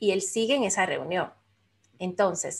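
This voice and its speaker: Using a plain, everyday voice, a woman of medium pitch speaks at a moderate pace with ordinary pitch variation. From Dominican Republic. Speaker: life coach and business mentor. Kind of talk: interview.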